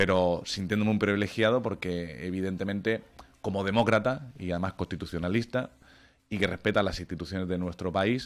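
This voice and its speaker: Over a very clean recording with a silent background, a man talks at a fairly quick pace in an ordinary speaking voice, fairly low-pitched with ordinary pitch variation. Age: 30s. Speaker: lawyer. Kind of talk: radio interview.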